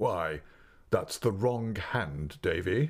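Using a raspy put-on character voice, a man speaks at a medium pitch with very wide pitch swings. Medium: read story. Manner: smooth, condescending charm.

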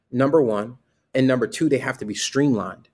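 Using lively intonation, a man with an American accent speaks at a fairly high pitch. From US Northeast, Bridgeport, Connecticut. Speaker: criminal justice reform advocate. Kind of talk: interview. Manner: halting, frequent fillers.

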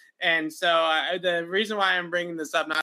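With a bright, sharp tone and fairly high pitch, a man speaks at a fairly quick pace with little pitch movement.

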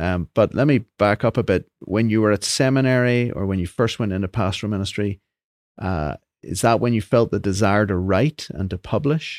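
A normal speaking voice from a man, fairly low in pitch at a moderate pace, with a dry, close sound, no echo, and a very clean recording with a silent background. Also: ordinary pitch variation. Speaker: podcast host. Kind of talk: interview conversation.

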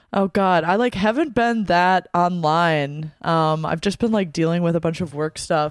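Against a very clean recording with a silent background, a woman with an unremarkable speaking voice talks at a fairly slow pace and fairly low pitch, with ordinary pitch variation, very even loudness and hardly any pauses. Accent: American. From US Midwest, Wisconsin. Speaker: podcast guest. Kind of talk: casual chat. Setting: studio.

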